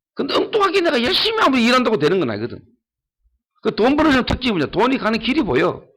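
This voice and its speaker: In an animated tone, a man speaks at a very fast pace in an extremely high pitch, his pitch swinging very widely. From Ulleungdo, Gyeongsang region, South Korea. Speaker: pastor. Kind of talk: sermon. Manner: animated, emphatic.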